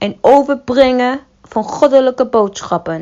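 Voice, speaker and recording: Lively intonation with a non-native accent. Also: woman. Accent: non-native Dutch, rustic. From Somali background. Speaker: religious content creator. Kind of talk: scripted narration.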